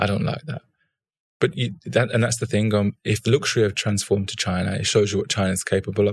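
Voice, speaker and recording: At a very fast pace, a man speaks with vocal fry on a very clean recording with a silent background. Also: fairly low pitch for a man, ordinary pitch variation. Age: 30s. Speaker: fashion entrepreneur and former footballer. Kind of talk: casual interview.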